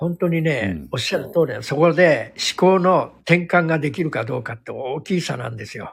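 A man's voice with vocal fry, lively intonation and big swings in loudness. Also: moderate pace. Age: 60s. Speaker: hairdresser and salon owner. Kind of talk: casual chat. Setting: live online audio stream. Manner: gentle, soft-spoken.

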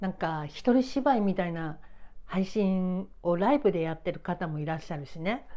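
A woman at medium pitch and moderate pace, with lively intonation and big swings in loudness. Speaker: writer and podcaster. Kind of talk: casual monologue. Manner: casual, unpolished.

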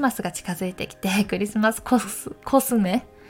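Pitch moves with ordinary variation while noticeable background noise persists. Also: woman. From Gifu Prefecture, Takayama (central Japan). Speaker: model and MC/narrator hosting a personal audio channel. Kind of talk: casual solo talk. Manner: friendly, conversational with frequent fillers.

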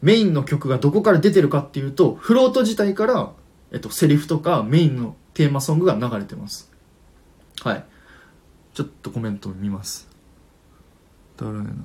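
The voice is dark and mellow and somewhat breathy, moving at a fairly quick pace with very wide pitch swings, big swings in loudness and long, frequent pauses. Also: man, fairly high pitch for a man. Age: 20s. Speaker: livestream radio host. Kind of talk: casual chat. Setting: live stream with listener comments.

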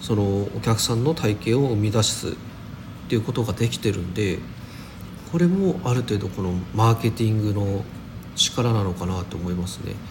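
A man with a fairly low pitch and ordinary pitch variation talks at a moderate pace, with long, frequent pauses. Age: 30s. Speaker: daily podcaster. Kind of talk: casual solo talk. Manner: casual, many fillers.

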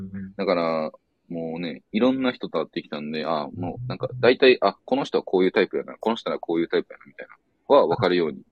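With a Kansai accent, a man speaks at a very fast pace, his loudness swinging widely. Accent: Kansai Japanese. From Osaka, Japan. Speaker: board gamer travelling around Japan. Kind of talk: casual chat.

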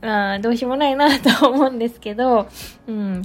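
A woman speaks at a high pitch. Noticeable background noise runs underneath. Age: 30s. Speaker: food artist and podcaster. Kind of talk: solo podcast monologue. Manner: casual, with many fillers.

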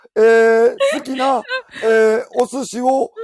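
A man speaks in an extremely high pitch with a Kansai accent. The sound is dry and close, with no echo. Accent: Kansai Japanese. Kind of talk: casual banter, imitation demonstration.

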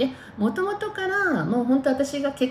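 A woman speaks with very wide pitch swings, and noticeable background noise sits behind her. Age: 50s. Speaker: podcaster. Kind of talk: casual monologue. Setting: in the bath. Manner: animated; fast.

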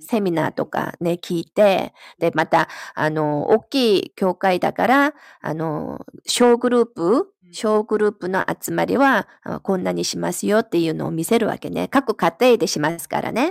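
With a Korean accent, a woman speaks at a moderate pace in a dry, close sound with no echo. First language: Korean (speaking Japanese). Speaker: Bible study participant. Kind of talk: casual chat.

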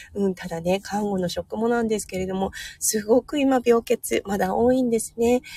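A dark, mellow tone, somewhat breathy, with ordinary pitch variation. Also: woman. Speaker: nurse and livestream host. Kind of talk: casual morning livestream talk. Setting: in a car in hospital parking lot. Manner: cheerful, upbeat.

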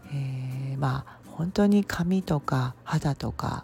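A woman's voice with music in the background. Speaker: herbal medicine practitioner. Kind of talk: solo podcast talk. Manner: frequent fillers, unhurried.

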